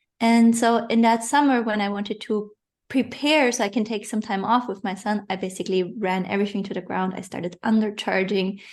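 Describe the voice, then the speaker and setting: With a non-native accent, a woman talks at a fairly quick pace, fairly high in pitch with fairly even intonation, over a quiet background. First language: not English. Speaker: online business coach. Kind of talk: interview. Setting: podcast.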